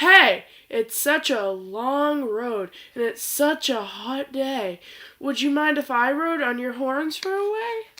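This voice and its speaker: A woman's put-on character voice, high-pitched and fairly slow. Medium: read story.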